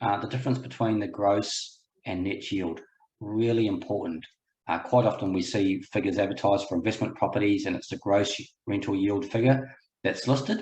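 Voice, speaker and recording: A somewhat breathy, medium-pitched male voice with a New Zealand accent, ordinary pitch variation and a moderate pace. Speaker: buyer's agent, property investor. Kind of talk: webinar presentation. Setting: online webinar, video call.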